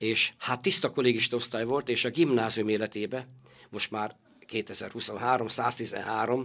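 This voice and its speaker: Recorded very cleanly against a silent background, a man talks at medium pitch with fairly even intonation. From northern Hungary, Borsod rural village. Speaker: bookstore owner and company director. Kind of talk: interview. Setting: studio. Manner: halting, with frequent repetitions.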